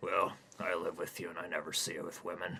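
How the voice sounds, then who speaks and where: Over clear background noise, a man puts on a raspy character voice and rattles along at a very fast pace. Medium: read story.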